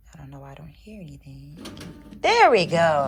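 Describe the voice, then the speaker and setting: A woman is whispering. She keeps to a moderate pace. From US South. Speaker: lifestyle vlogger. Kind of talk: casual vlog talk. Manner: whispering in public.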